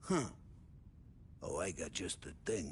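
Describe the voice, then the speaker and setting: Loud and raspy, a man performs a put-on character voice over clear background noise. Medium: video game. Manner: loud, boisterous, laughing.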